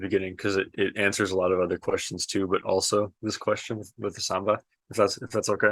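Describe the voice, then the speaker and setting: On a very clean recording with a silent background, a man speaks at a moderate pace with an American accent. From US West Coast, Oregon. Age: 20s. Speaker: musician. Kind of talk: casual interview chat. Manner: hesitant, many fillers and repetitions.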